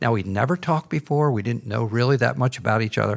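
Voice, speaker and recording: Vocal fry runs through speech at a very fast pace. The recording is very clean, with a silent background. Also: man. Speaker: missionary and former university president. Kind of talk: interview.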